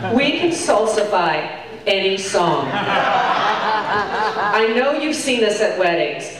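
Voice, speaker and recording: Over loud background noise and audible room echo, a woman speaks very slowly with hardly any pauses. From Cuban-American. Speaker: stand-up comedian. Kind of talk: stand-up comedy set. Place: stage.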